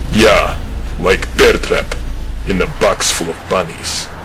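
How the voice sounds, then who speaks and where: A man uses a put-on character voice at a fairly slow pace. Loud background noise runs behind him. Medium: fan dub. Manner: curt, flat, deadpan.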